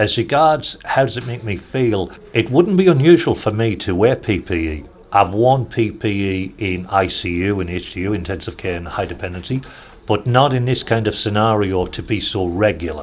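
A man talks at a moderate pace with fairly low pitch and lively intonation. Noticeable background noise runs underneath. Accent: slight Newcastle. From Newcastle, northern England. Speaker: hospital chaplain, priest. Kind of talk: interview testimony.

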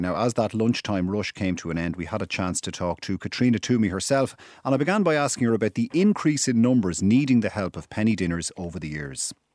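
A man with an Irish accent, fairly low pitch, lively intonation and a very fast pace. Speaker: radio host. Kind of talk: current affairs interview.

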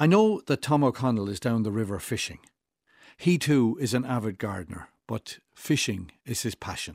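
A man with an Irish accent at medium pitch, lively intonation and a moderate pace, in a dry, close sound with no echo. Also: very clean recording, silent background. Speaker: writer. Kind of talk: reading aloud.

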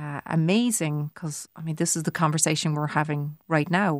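A woman with a Cork accent at a moderate pace, in a very clean recording with a silent background. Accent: Cork Irish. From Ireland, Cork city. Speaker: visual artist. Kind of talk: casual chat.

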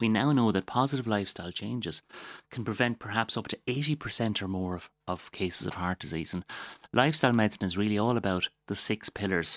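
A man speaks very fast at a fairly low pitch, with ordinary pitch variation. The recording is very clean and dry, close with no echo, over a silent background. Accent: Waterford. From Waterford, Ireland. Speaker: doctor and wellness advocate. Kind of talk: casual interview.

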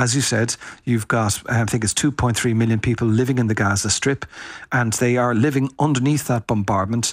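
With an Irish accent, the speaker goes at a fairly quick pace with fairly even intonation and very even loudness, in a dry, close sound with no echo. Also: man, medium pitch for a man. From Ireland. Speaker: foreign correspondent. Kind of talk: interview. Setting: remote from Tel Aviv, pre-recorded.

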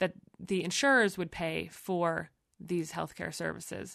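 A woman's fairly low pitch with ordinary pitch variation, a plain, everyday voice, against a quiet background. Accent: American. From United States. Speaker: magazine editor. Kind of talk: interview. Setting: studio.

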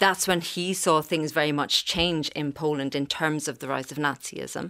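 A woman with an Irish accent and a very deep, low pitch, at a moderate pace, on a very clean recording with a silent background. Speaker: archivist. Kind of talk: radio interview.

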